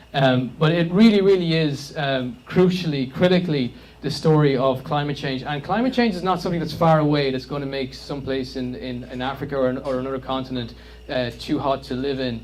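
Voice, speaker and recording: In an Irish accent, a man talks at a fairly quick pace with a fairly high pitch and ordinary pitch variation, room echo audible around him. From Ireland. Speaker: climate campaigner. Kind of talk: public presentation. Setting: community meeting with audience. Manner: hesitant, filler-heavy.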